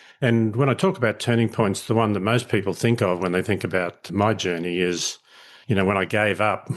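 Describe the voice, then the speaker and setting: A man speaks at a moderate pace with fairly low pitch and fairly even intonation. His loudness stays very even against a quiet background. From Australia, country Queensland. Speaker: leadership educator. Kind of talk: podcast interview. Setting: remote call.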